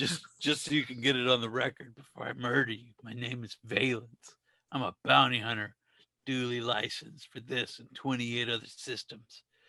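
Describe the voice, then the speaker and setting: A man puts on a character voice. It sits at medium pitch and keeps a moderate pace. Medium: solo performance. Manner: cool, deadpan.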